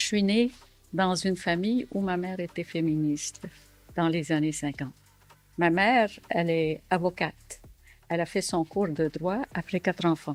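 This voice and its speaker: A woman at fairly low pitch with ordinary pitch variation, fairly slow pace and long, frequent pauses, music in the background. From Syria. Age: 70s. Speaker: entrepreneur and author. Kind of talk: documentary interview testimony. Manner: hesitant, many fillers.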